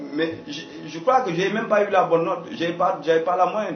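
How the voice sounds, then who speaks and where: With an African accent and a high pitch for a man, a man talks at a fairly quick pace with ordinary pitch variation, amid audible room echo and noticeable background noise. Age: young. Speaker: communication consultant. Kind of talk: radio interview. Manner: halting, with repetitions.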